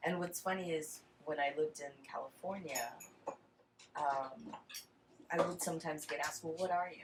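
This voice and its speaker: A woman with a slight Texan accent, very deep and low in pitch, at a moderate pace with ordinary pitch variation and long, frequent pauses. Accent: slight Texan accent, Mexican American. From Texas. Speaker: interviewee, family member. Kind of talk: casual chat.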